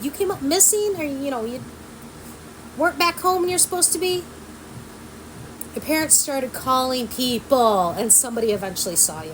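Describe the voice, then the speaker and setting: Over noticeable background noise, a woman speaks at a fairly quick pace with long, frequent pauses. Her high pitch swings very widely. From small country town. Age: 40s. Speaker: vlogger. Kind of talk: casual chat. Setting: sitting at home by a window.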